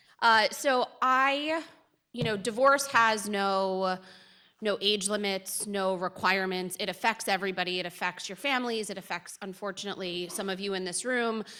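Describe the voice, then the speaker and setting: Loud and bright, sharp in tone, a woman speaks at a medium pitch with ordinary pitch variation. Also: moderate pace, very clean recording, silent background. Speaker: family law attorney. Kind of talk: lecture.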